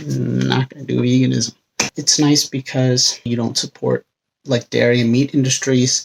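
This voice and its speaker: A man speaks quietly at a fairly slow pace. The sound is dry and close, with no echo. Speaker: vlogger. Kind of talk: casual vlog monologue. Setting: home bedroom. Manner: speaking quietly.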